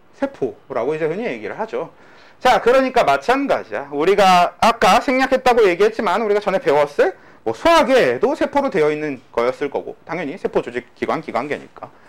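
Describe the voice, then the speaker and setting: With very wide swings in pitch, the talking goes at a fairly quick pace. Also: man, high pitch for a man. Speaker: biology teacher. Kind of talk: lecture. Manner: casual, conversational.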